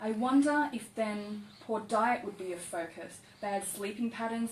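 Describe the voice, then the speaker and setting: A woman at medium pitch with ordinary pitch variation, over noticeable background noise. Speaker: poet. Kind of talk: poetry reading.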